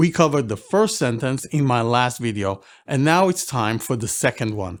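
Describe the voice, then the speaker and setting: A man with an Israeli accent speaks at a moderate pace and medium pitch, his intonation lively. The recording is very clean, with a silent background. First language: Hebrew. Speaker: Bible language teacher. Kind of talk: lecture. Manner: formal.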